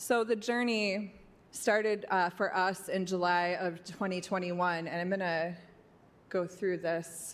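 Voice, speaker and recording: A woman with an ordinary speaking voice talks at a fairly slow pace and a medium pitch, her intonation fairly even. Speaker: violence prevention program presenter. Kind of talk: public presentation to city commission.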